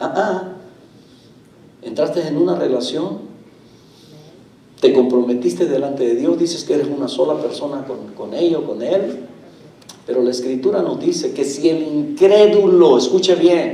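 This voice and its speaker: A man at a fairly slow pace, with long, frequent pauses, audible room echo and noticeable background noise. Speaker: pastor. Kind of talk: sermon. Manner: slow, deliberate pacing.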